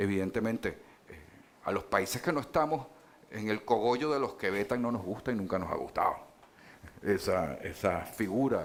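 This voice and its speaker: A man speaks with lively intonation. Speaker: politician. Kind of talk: panel debate. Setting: stage with audience. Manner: hesitant, many fillers.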